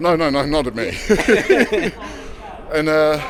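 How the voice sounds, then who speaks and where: With a Leicester accent, a man speaks at medium pitch and moderate pace amid audible room echo and noticeable background noise. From English Midlands, Leicester. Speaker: travel vlogger. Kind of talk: casual walking vlog chat.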